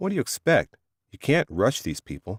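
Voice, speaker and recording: A man uses a put-on character voice at a medium pitch and moderate pace. The sound is dry and close, with no echo. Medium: read story. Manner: uneasy, placating.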